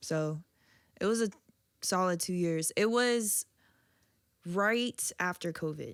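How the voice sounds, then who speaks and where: A woman speaks at a very slow pace with long, frequent pauses and ordinary pitch variation. The recording is very clean, with a silent background and a dry, close sound with no echo. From Virginia Beach, Virginia. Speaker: DJ and visual artist. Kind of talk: casual interview chat. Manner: low, quiet.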